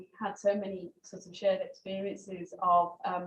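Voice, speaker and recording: A somewhat breathy woman talks in a Brummie accent. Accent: Brummie accent, kept. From Birmingham, England. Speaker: journalist. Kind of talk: memorial talk. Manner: hesitant, many fillers.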